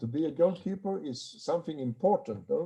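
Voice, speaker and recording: Speaking with a Swedish accent, a man uses a fairly high pitch at a moderate pace. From Sweden. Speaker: handball goalkeeper coach. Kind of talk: online seminar Q&A. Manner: halting.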